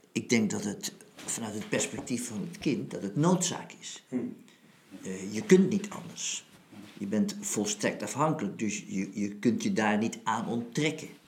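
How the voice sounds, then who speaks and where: Speaking very slowly at medium pitch, a man shows very wide pitch swings and big swings in loudness over noticeable background noise. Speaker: retired army general and philosopher. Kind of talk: philosophical conversation.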